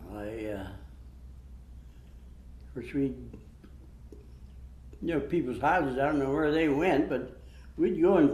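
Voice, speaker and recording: This speaker has a Western Pennsylvania accent and talks at a fairly slow pace. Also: man. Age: 90s. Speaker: World War II veteran, army medic. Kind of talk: interview answer.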